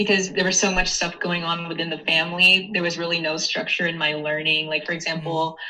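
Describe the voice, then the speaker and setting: A woman speaks with hardly any pauses in a fairly low, monotone, flat voice. Noticeable background noise sits behind her. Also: fairly quick pace. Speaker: podcast guest. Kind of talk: casual chat. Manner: hesitant, many fillers.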